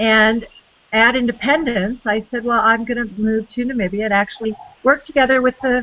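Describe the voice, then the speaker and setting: Noticeable background noise runs under this recording. A woman with an American accent speaks at a fairly high pitch and a moderate pace. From United States. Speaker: conservation biologist. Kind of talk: interview.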